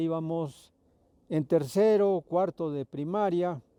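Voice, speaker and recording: In a dry, close sound with no echo, a man's dark, mellow tone carries ordinary pitch variation. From Mexico, Milpa Alta (Mexico City). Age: 70s. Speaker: farmer and pulque tapper. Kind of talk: personal reminiscence interview. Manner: halting.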